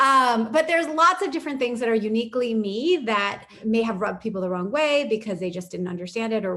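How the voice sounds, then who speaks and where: Over noticeable background noise, a woman speaks at a very fast pace with hardly any pauses, her fairly high voice making very wide pitch swings. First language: not English. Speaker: panel moderator. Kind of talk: panel discussion.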